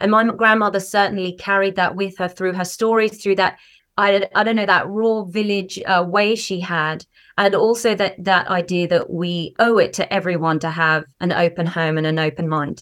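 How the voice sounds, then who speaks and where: At a moderate pace and medium pitch, a woman speaks with fairly even intonation in an unremarkable speaking voice. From Canada, Vancouver. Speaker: storyteller. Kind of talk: interview chat.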